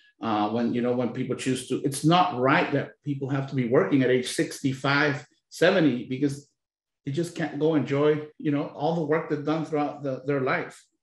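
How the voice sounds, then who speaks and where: A man with a Spanish accent talks at a moderate pace, his fairly high voice somewhat breathy and his intonation fairly even. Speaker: labor union leader. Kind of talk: panel discussion.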